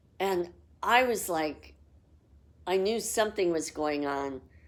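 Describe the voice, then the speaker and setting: Ordinary pitch variation comes through at a very slow pace. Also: woman. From Los Angeles, US. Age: 60s. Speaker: psychic. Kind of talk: personal storytelling.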